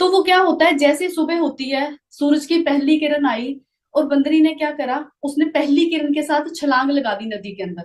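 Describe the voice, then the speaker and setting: A woman's high-pitched voice with ordinary pitch variation. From Punjab. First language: Punjabi (speaking Hindi). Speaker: network marketing business recruiter. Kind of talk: motivational live talk with storytelling.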